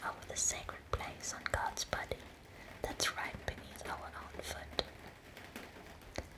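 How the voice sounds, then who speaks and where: Whispering in a gentle tone, a woman speaks at a very slow pace amid noticeable background noise. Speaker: ASMR creator. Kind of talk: ASMR poetry reading in bed. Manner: whispered, soft-spoken, gentle.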